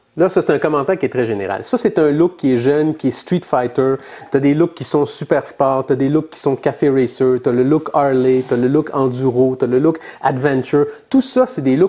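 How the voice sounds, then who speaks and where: A man with a Quebec accent talks fairly quickly at a fairly high pitch in a dark, mellow tone. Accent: Québécois French. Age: 50s. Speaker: motorcycle podcast co-host. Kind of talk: casual chat. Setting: studio.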